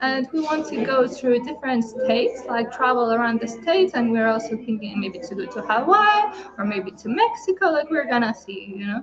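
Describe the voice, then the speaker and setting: Over noticeable background noise, a woman with a Lithuanian accent speaks at a moderate pace with a high pitch and lively intonation. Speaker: entrepreneur. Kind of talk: testimony. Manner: halting.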